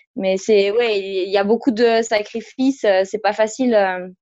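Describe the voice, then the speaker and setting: A woman's fairly high voice moves at a very slow pace, her intonation fairly even. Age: 20s. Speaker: former elite judoka and coach. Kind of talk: interview.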